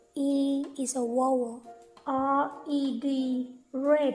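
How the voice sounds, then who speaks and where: A woman's high-pitched voice with a Thai accent, very slow and monotone with flat intonation, over music in the background. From Thailand. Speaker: English teacher. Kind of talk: language lesson. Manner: slow, clear.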